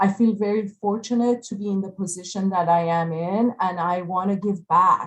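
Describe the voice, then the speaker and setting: A woman speaks in an Iranian accent with a somewhat breathy voice. She has fairly even intonation and hardly any pauses. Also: medium pitch for a woman, moderate pace. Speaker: architect. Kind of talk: panel presentation. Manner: halting, many fillers.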